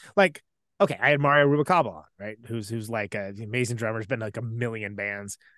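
An unremarkable speaking voice from a man with an American accent, medium in pitch, fairly quick, big swings in loudness, dry and close with no echo. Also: ordinary pitch variation, quiet background. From California, Central Valley (Modesto). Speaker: musician and podcast host. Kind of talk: casual interview chat.

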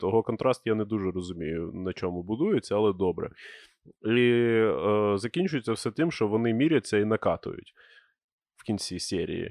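At a moderate pace, a man talks in a dry, close sound with no echo against a quiet background. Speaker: podcast host. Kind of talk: casual banter. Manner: joking.

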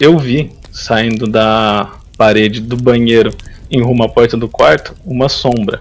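A man with an ordinary speaking voice, medium pitch and a moderate pace. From interior of São Paulo state, Brazil. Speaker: website administrator, programmer. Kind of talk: casual interview chat.

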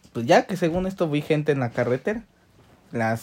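An ordinary speaking voice from a man, at a moderate pace with lively intonation. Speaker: podcast co-host. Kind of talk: casual chat.

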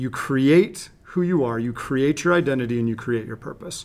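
Medium pitch, ordinary pitch variation and a moderate pace from a man with an unremarkable speaking voice. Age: 40s. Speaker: high performance coach and school student specialist. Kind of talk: interview.

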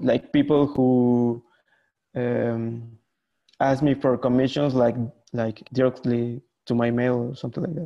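With a Spanish accent, a man speaks at a medium pitch and fairly slow pace. His intonation is fairly even, and he leaves long, frequent pauses. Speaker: illustrator. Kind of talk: casual chat. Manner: halting, many fillers.

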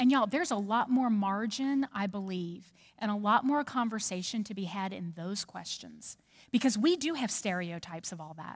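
In an American accent, a woman talks at a medium pitch and moderate pace, somewhat breathy, with lively intonation and big swings in loudness, in a very clean recording with a silent background. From New Orleans, Louisiana. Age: 40s. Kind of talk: church talk.

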